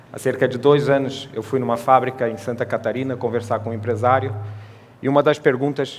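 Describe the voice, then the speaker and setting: A man's medium-pitched voice carries fairly even intonation at a moderate pace. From Portugal. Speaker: sales manager speaking at a trade congress. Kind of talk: conference talk.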